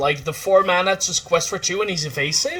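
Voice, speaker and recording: A man's voice over music in the background. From Netherlands. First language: Dutch. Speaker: streamer. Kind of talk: casual chat. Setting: livestream. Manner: animated.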